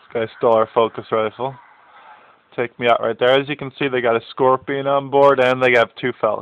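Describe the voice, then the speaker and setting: A man speaks with monotone, flat intonation while his loudness swings widely. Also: medium pitch for a man, moderate pace. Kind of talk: gameplay commentary.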